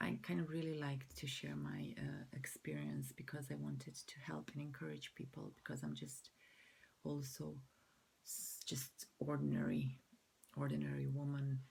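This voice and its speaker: A woman with a Croatian accent speaks at a moderate pace in a very deep, low, somewhat breathy voice with very wide pitch swings. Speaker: mental health vlogger. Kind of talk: personal vlog. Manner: halting.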